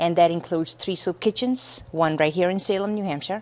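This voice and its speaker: A normal speaking voice moves at a moderate pace with ordinary pitch variation, in a very clean recording with a silent background. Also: woman. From India, then raised in Lowell, Massachusetts from age twelve. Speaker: charity founder. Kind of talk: interview.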